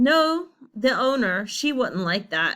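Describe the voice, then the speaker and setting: A female-sounding put-on character voice mumbles at a fairly slow pace. The pitch is high. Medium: read story. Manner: hesitant, mumbling.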